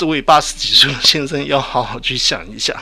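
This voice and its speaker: A man talks fairly quickly while noticeable background noise can be heard. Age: 60s. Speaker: retired veteran, sexology doctoral student. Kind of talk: radio interview. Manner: halting.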